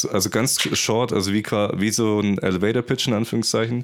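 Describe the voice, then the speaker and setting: A man talks with a fairly low pitch at a moderate pace. His intonation stays fairly even. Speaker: podcast host for filmmakers. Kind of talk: casual interview.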